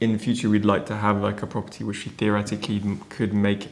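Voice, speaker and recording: A man with a British accent, fairly low-pitched and flat in a monotone, against noticeable background noise and audible room echo. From UK. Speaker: renovation vlogger. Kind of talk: casual chat.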